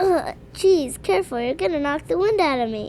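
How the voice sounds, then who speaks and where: A woman's put-on character voice, high-pitched with very wide pitch swings, at a moderate pace amid clear background noise. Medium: audio drama. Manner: sarcastic, blunt.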